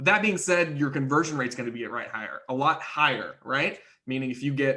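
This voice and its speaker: A man's fairly high voice comes through with a bright, sharp tone. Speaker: marketing agency trainer. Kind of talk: webinar presentation. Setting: live online webinar. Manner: fast.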